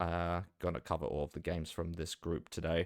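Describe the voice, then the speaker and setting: Someone speaks in an Australian accent at a fairly quick pace. The intonation is monotone and flat on a very clean recording with a silent background. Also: man. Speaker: esports caster. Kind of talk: live commentary. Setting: live stream. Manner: casual, filler-heavy.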